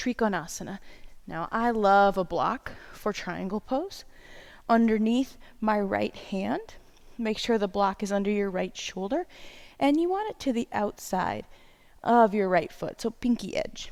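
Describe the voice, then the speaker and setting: A soft-spoken woman at a medium pitch, ordinary pitch variation, a fairly slow pace, and a very clean recording with a silent background. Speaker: yoga instructor. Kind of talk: guided yoga class.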